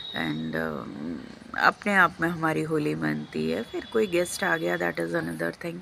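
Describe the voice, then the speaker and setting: A woman speaks with a Bengali accent over noticeable background noise. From Lucknow, India. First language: Bengali (speaking Hindi). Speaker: vlogger. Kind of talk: casual vlog talk.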